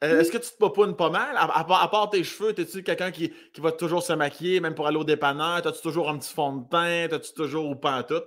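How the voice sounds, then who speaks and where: In a very clean recording with a silent background, a man with a high voice speaks at a fairly quick pace in an animated tone, with ordinary pitch variation and big swings in loudness. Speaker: podcast host. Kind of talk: casual chat, interview. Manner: animated, joking.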